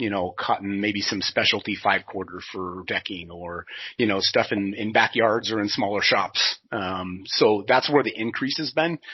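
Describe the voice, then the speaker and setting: A man speaks at a moderate pace with a Pacific Northwest accent. His voice sits fairly low, with ordinary pitch variation. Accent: Pacific Northwest American. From US Pacific Northwest (southwest Washington). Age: 40s. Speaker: sawmill industry manager. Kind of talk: podcast interview. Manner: hesitant, many fillers and restarts.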